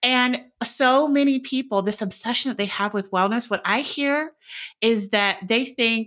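A woman's fairly high voice with a bright, sharp tone, ordinary pitch variation and a moderate pace, on a very clean recording with a silent background. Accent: American. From United States. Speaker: dietitian and author. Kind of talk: interview.

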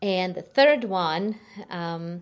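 A woman speaks at a medium pitch with a Ukrainian accent. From Ukraine. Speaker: nonprofit founder. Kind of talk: interview. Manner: halting.

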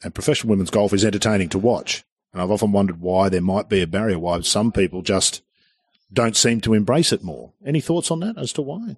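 A man with an Australian accent talks at a very fast pace in a fairly low pitch, his intonation lively and the sound dry and close with no echo over a quiet background. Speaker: golf podcast host. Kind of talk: casual chat.

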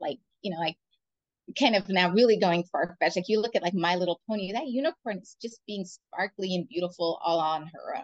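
A woman with an American accent speaks at a fairly quick pace with ordinary pitch variation and big swings in loudness, in a dry, close sound with no echo. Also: medium pitch for a woman. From San Francisco, US West Coast. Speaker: business development director. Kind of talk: casual interview chat.

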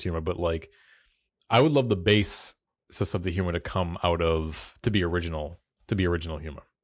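In an American accent, a man talks at a fairly quick pace with a very deep, low pitch against a quiet background. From US South. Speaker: podcast host. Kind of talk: casual chat.

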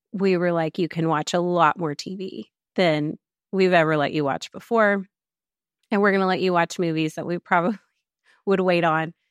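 A woman's fairly low voice with an American accent at a moderate pace, dry and close with no echo, on a very clean recording with a silent background. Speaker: Bible teacher and author. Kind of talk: casual interview. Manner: animated.

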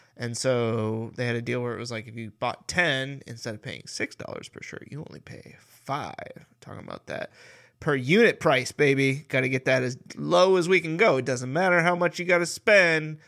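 A man with a medium pitch, a bright, sharp tone, lively intonation and big swings in loudness. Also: moderate pace, very clean recording, silent background. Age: 30s. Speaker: podcast co-host. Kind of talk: casual chat.

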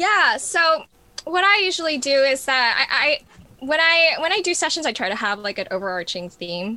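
A raised, projected voice in an American accent swings very widely in pitch at a moderate pace. Noticeable background noise sits behind it. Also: woman, high pitch for a woman. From New York. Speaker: music therapist. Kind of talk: casual interview.

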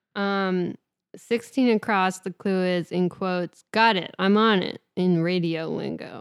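In a very clean recording with a silent background, a woman with a normal speaking voice talks at a fairly slow pace, with a medium pitch and fairly even intonation. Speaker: podcast co-host. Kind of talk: casual chat.

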